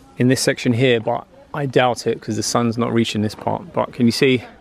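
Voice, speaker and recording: A man's voice at a moderate pace, fairly even in intonation, with a dry sound and no echo. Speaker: travel vlogger. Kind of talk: casual vlog chat. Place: waterside. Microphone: phone near.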